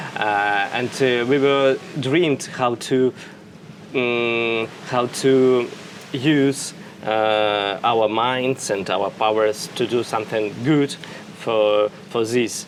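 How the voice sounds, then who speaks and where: Speech comes at a very slow pace with fairly even intonation over noticeable background noise. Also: man, medium pitch for a man. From Russia. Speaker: interviewee. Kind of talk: interview. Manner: halting, many fillers.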